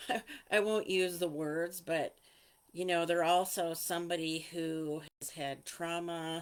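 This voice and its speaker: A plain, everyday voice with fairly even intonation. Loudness swings widely while the pace stays fairly slow. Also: woman, fairly low pitch for a woman. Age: 60s. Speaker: healing coach and meditation guide. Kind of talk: casual talk to camera. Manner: informal, with fillers.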